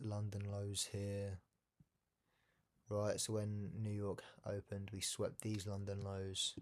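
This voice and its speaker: This man speaks at a fairly low pitch. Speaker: day trader. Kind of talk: trading tutorial.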